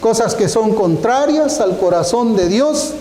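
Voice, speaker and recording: A high-pitched man with lively intonation and a fairly slow pace, amid noticeable background noise and audible room echo. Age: 60s. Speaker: pastor. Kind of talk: sermon.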